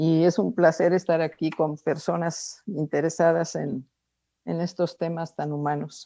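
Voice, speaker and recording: A woman speaks in a fairly low pitch with a dark, mellow tone. The background is quiet. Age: 70s. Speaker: course participant. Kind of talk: group discussion contribution. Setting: video call.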